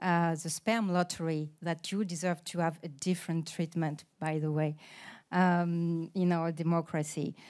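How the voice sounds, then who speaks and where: Speaking in a French accent, a woman uses a fairly low pitch and monotone, flat intonation at a fairly slow pace, in a very clean recording with a silent background. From France. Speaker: politician. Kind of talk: panel talk. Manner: halting with many fillers.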